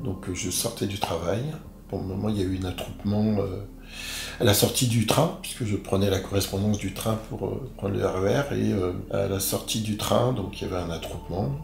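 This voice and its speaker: Noticeable background noise and audible room echo surround speech at a moderate pace with ordinary pitch variation. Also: man, fairly low pitch for a man. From Paris, France. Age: 60s. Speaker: interviewee, wrongly arrested man. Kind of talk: interview testimony. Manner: halting, many hesitations.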